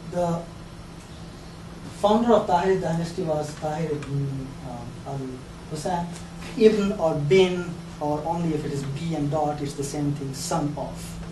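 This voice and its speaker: Amid noticeable background noise and audible room echo, a man talks fairly slowly with ordinary pitch variation and long, frequent pauses. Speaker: lecturer. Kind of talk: lecture. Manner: hesitant, many fillers and repeats.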